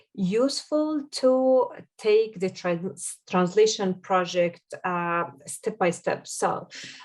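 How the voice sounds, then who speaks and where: With an Arabic accent, a woman of medium pitch speaks at a very slow pace with lively intonation. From Jordan. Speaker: SEO consultant. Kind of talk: podcast interview. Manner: halting, many fillers.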